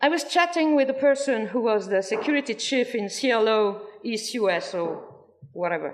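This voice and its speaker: A woman with a French accent speaks at a moderate pace. Her high voice swings very widely in pitch. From France. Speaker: former cult member speaking at a protest. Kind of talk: testimony. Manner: halting.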